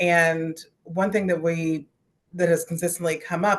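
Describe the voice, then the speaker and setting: This is a woman with an unremarkable speaking voice, fairly low in pitch. She talks at a fairly slow pace. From West Virginia. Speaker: youth organizer. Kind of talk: casual discussion comment.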